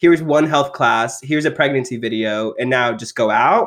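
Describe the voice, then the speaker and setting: An ordinary speaking voice from a man with an American accent, fairly quick and with lively intonation. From rural Texas. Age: 20s. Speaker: sex education advocate. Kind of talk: casual chat.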